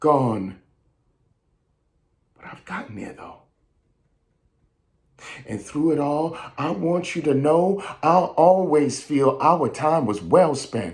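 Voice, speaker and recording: A man with an American accent speaks at a very slow pace. His voice is somewhat breathy, with lively intonation. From New York. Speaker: actor, audiobook narrator, voice-over artist, writer. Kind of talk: spoken word poetry performance.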